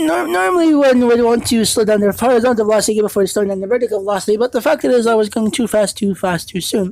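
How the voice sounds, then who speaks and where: Fairly quick and lively in intonation, a woman speaks at a fairly high pitch. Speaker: gaming video creator. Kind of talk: gameplay commentary. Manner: fast; halting, many fillers and restarts.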